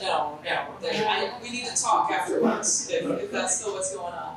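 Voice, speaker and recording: A woman's voice over noticeable background noise. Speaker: TV play-by-play announcer for a pro basketball team. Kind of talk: interview answer at a press luncheon.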